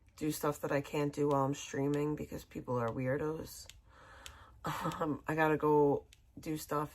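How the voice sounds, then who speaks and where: A woman's very deep, low voice with an American accent and a bright, sharp tone. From small beach town outside Boston, Massachusetts. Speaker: livestreamer. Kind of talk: casual livestream sign-off.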